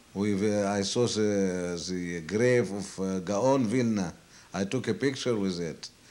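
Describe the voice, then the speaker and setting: A man's fairly low voice at a very slow pace. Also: ordinary pitch variation. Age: 70s. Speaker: elderly man recounting his life story. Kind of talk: oral history interview. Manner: halting, many hesitations.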